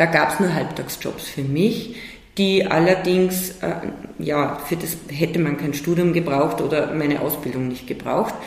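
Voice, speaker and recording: Noticeable background noise accompanies speech that moves at a moderate pace. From Salzburg, Austria. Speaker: cultural manager. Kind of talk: interview.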